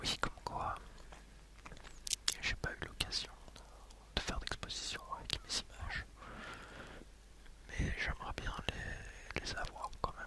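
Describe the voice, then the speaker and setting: Over noticeable background noise, a man whispers very slowly, leaving long, frequent pauses. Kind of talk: ASMR ramble. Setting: headset microphone. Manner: whispered.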